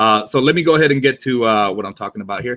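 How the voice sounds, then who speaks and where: The pitch of the man's voice varies in an ordinary way. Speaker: online marketing YouTuber. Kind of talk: live stream tutorial. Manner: fast; casual, with fillers. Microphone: webcam.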